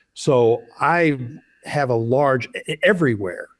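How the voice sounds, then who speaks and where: A plain, everyday voice is heard. It moves at a fairly slow pace with ordinary pitch variation. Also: man. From Oklahoma. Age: 60s. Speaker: loan officer, former baseball umpire. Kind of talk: interview.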